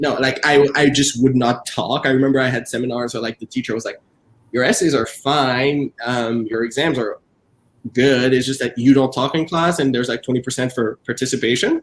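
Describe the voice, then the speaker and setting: Intonation stays fairly even. The pace is fairly quick. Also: man, medium pitch for a man. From Quebec, Montreal (Haitian family). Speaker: author and professor. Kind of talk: virtual book event interview. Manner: talkative.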